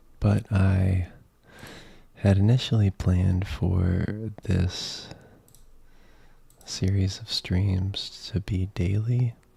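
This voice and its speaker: A man's fairly low, dark and mellow voice, somewhat breathy, very slow, with fairly even intonation and long, frequent pauses. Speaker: streamer reading academic papers. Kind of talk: live stream reading aloud and commentary. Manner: soft-spoken.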